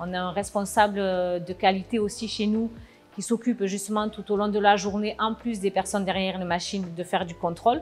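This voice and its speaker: With music in the background, a woman speaks at a fairly quick pace. Her medium-pitched voice has monotone, flat intonation. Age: 40s. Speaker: production manager. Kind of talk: interview. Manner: hesitant, many filler sounds.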